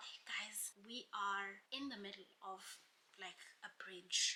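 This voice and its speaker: A woman talks at a very slow pace, her loudness swinging widely from soft to strong. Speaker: YouTuber. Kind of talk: storytime monologue. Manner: animated.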